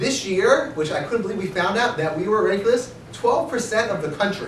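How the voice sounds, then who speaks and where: The speaker sounds animated and talks at a fairly quick pace. There is audible room echo and noticeable background noise. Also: man. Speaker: rabbi and organization director. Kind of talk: speech at annual meeting. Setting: meeting with audience. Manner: fast.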